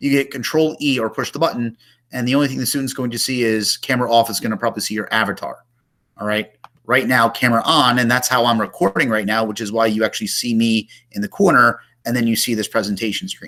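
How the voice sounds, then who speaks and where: A man talks at a very fast pace in a medium pitch. His tone is bright and sharp, with ordinary pitch variation. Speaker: teacher making tutorial videos. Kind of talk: screen-recorded tutorial. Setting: screen recording on a laptop. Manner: casual, with fillers.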